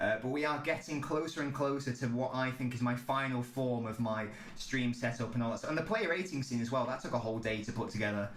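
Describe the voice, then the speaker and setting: Amid noticeable background noise and audible room echo, a man speaks at a medium pitch with ordinary pitch variation. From England. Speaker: football streamer. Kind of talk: live stream chat. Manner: casual, filler-heavy.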